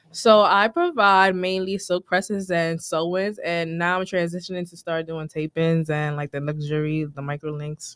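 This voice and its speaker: Fairly low-pitched woman at a moderate pace, with fairly even intonation, hardly any pauses and a dry, close sound with no echo. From New York City, the Bronx. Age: 20s. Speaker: hairstylist and salon owner. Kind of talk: interview. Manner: halting.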